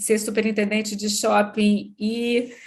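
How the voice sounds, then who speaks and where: Speaking very slowly in a Minas Gerais accent, a woman with a fairly high voice keeps a monotone, flat intonation. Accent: Minas Gerais (mineiro). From Brazil, Minas Gerais. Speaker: business executive. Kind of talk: interview podcast.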